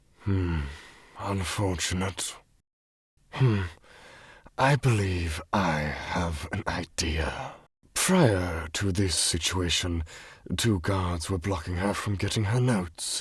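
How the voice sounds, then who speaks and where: In a put-on character voice, a man speaks with a very deep, low pitch, ordinary pitch variation, a very slow pace and long, frequent pauses. The recording is very clean, with a silent background. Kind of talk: dramatic storytelling monologue. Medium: machinima. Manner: slow, measured, theatrical, with knowing laughs.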